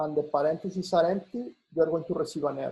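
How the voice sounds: A man's fairly high-pitched voice, slightly mellow in tone with a slightly husky edge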